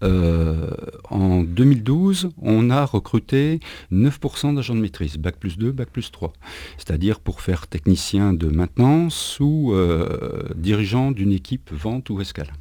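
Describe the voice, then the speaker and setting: A man talks at a very slow pace in a fairly low pitch with a dark, mellow tone. His pitch moves in very wide swings. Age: 50s. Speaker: recruitment and careers manager. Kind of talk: radio interview. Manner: hesitant, many fillers.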